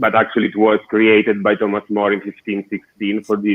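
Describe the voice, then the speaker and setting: In an Italian accent, a man with a fairly low-pitched voice speaks at a moderate pace. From southern Italy. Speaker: architect and designer. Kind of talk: interview.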